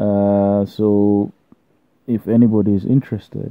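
The intonation stays fairly even. The pace is very slow. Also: man. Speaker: law graduate. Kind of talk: casual talk to camera.

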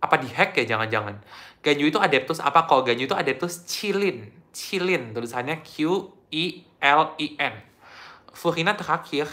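In a very clean recording with a silent background, a man speaks at a moderate pace. His fairly high voice has a bright, sharp tone and lively intonation. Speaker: gaming streamer. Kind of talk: casual live-stream chat.

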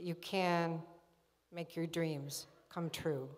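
A woman speaks very slowly in a fairly low voice, her intonation fairly even. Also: quiet background. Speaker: college dean presiding over graduation; speaker. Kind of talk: formal ceremony address. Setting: stage with audience in a large hall. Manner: formal. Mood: emotional, grateful. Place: hall. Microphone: podium.

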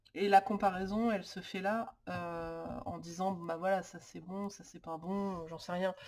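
A woman talks with hardly any pauses in monotone, flat intonation at a medium pitch. Her loudness swings widely. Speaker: lifestyle YouTuber on planning and organization. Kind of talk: tutorial. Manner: hesitant, many filler sounds.

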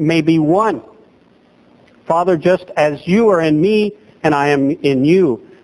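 Dry, close sound with no echo from a man of fairly high pitch, ordinary pitch variation, and noticeable background noise. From southwest Louisiana (Lake Charles area). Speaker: pastor. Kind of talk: sermon. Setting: church.

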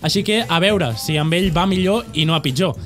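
A man at a moderate pace with faint music in the background. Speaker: podcast host. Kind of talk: show hosting banter. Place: studio. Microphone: studio mic.

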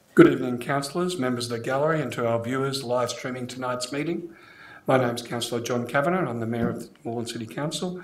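A man speaks quickly at a medium pitch, his voice carrying strong room echo. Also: ordinary pitch variation.

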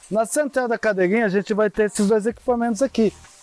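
Faint music plays behind a man with a high voice. He talks at a fairly quick pace, and the sound is dry with no echo. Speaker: rappel guide. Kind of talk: safety briefing tutorial. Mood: relaxed, joking. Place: forest. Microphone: lapel.

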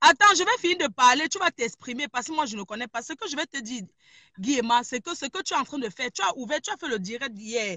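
At a very fast pace, a woman talks in a high pitch with very wide pitch swings, the sound dry with no echo and the background quiet. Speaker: caller. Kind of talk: heated debate. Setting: in a car. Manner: animated. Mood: firm, confrontational. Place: car. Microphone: phone near.

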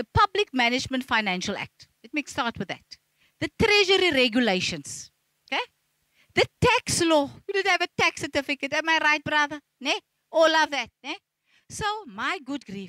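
Against a quiet background with a dry sound and no echo, a woman uses a raised, projected voice with a bright, sharp tone, high pitch, very wide pitch swings, big swings in loudness, a moderate pace and long, frequent pauses. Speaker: audience member. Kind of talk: audience comment in panel discussion. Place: hall. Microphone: handheld.

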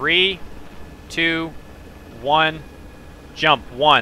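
The pitch varies in an ordinary way, with noticeable noise in the background. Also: man. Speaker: gaming streamer and squad member. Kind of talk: radio dispatch. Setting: online game voice chat, stream. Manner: clipped, terse military radio brevity.

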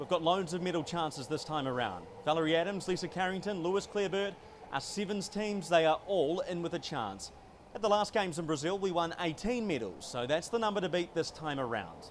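With a New Zealand accent, a man speaks fairly quickly in a high pitch and lively intonation, over light background noise. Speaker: sports reporter. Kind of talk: news explainer to camera. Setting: on location in Tokyo. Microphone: handheld.

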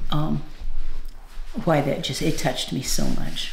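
Amid audible room echo and light background noise, a woman speaks at a fairly slow pace with ordinary pitch variation. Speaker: video channel co-host, wife. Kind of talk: casual chat. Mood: touched, warm. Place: home room. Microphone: camera far.

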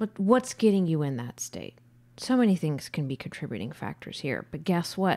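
Against a quiet background, a woman speaks with fairly low pitch and very wide pitch swings. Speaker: podcast co-host. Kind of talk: casual chat. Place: studio. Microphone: studio mic.

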